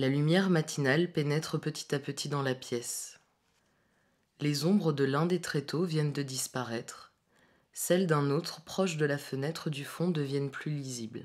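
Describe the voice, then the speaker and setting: A woman's very deep, low voice with fairly even intonation at a fairly slow pace, on a very clean recording with a silent background. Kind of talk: art installation spoken description. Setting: loudspeaker in empty room. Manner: monotone.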